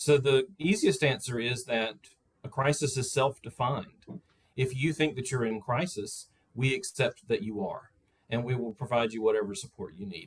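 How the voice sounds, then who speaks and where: In a Southern US accent, a man speaks with lively intonation. His voice is somewhat breathy. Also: medium pitch for a man, moderate pace. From US South. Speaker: crisis service representative. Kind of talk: panel discussion. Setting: video call.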